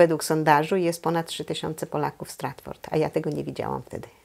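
Against a quiet background, a woman with vocal fry and a dark, mellow tone speaks at a fairly quick pace in a very deep, low pitch. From Poland, Złotów district. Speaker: Polish community association president. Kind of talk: oral history interview answer. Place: home room. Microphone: lapel.

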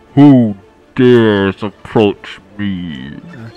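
A man does a put-on character voice, fairly low in pitch. Faint music plays in the background. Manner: menacing, booming.

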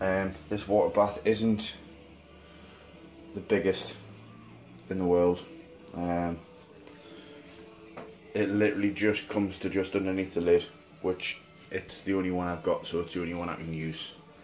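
Over faint background music, a man with a very deep, low voice speaks in a flat monotone, leaving long, frequent pauses. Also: moderate pace. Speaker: home cook vlogger. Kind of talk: casual vlog chat. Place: kitchen. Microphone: phone near.

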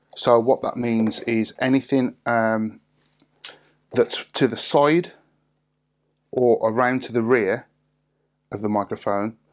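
Against quiet surroundings, the words come out very slowly. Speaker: product reviewer. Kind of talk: tutorial.

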